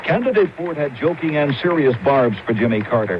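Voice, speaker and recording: Talking at a fairly quick clip with lively intonation, a man is heard through noticeable background noise. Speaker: TV news correspondent. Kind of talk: TV news report.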